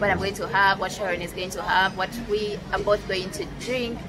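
Clear background music behind a woman's voice. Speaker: food vlogger. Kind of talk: casual vlog chat. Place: cafe. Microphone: phone near.

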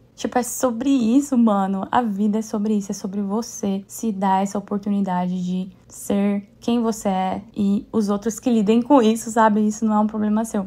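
The voice has a dark, mellow tone and is somewhat breathy. It moves at a moderate pace with fairly even intonation and hardly any pauses. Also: woman, fairly high pitch for a woman. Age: 30s. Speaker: podcast host and dance class owner. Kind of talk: casual solo monologue.

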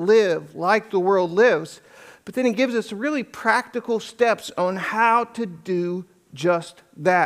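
Over a quiet background, a man with a high pitch speaks at a fairly slow pace. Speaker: pastor. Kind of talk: sermon. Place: church.

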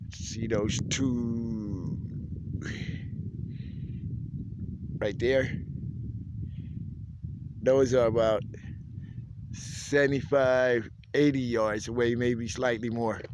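A man talks at a very slow pace in a flat monotone, with long, frequent pauses. The sound is dry with no echo, and there is noticeable background noise. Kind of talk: casual vlog chat. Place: open country.

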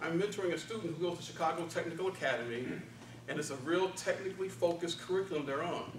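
Very fast speech comes from a man with a high pitch and ordinary pitch variation. Audible room echo and light background noise surround him. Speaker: speech contestant, office worker. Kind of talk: contest speech. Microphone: camera far.

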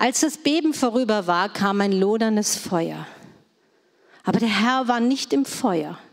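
Long, frequent pauses break up a woman's speech at a fairly slow pace. Her intonation is lively and her loudness very even. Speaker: scripture reader. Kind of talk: reading aloud. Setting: church.

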